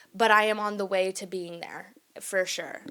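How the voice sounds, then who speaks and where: A medium-pitched woman with an American accent at a moderate pace. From Texas, small town, Mexican family. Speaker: podcast host. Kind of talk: casual monologue podcast.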